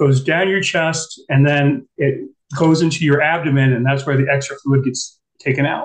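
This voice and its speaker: A man with an American accent speaks at a fairly high pitch and a moderate pace. His voice is somewhat breathy, with fairly even intonation and very even loudness. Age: 60s. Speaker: guest. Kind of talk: casual chat. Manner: halting.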